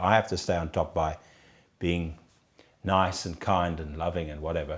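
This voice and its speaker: The speech comes at a moderate pace on a very clean recording with a silent background. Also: man. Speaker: prison doctor. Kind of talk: interview. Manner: halting.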